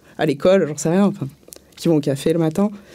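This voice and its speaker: A woman speaks at a fairly low pitch. Her pitch varies an ordinary amount. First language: not French (speaking French). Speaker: street theatre and circus artist. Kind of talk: panel debate. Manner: hesitant, many fillers.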